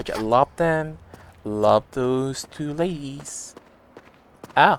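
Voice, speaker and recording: The speech comes at a very slow pace, with noticeable background noise behind it. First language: Spanish. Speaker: game streamer. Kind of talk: casual live-stream chat. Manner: animated.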